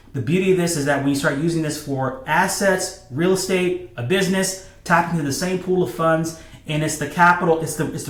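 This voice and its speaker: The speech runs at a fairly quick pace with fairly even intonation, over noticeable background noise and audible room echo. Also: man. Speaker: financial educator. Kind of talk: explainer video. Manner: fast; many fillers and repetitions.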